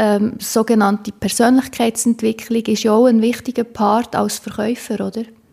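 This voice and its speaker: A woman's fairly high-pitched voice in a flat monotone, with noticeable background noise. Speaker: podcast host. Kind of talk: interview.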